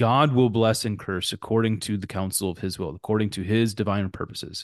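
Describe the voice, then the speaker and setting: Over a quiet background, a man has a plain, everyday voice at a fairly low pitch with fairly even intonation. He talks at a fairly quick pace, and the sound is dry and close with no echo. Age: 40s. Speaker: pastor. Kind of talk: casual chat. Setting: remote recording.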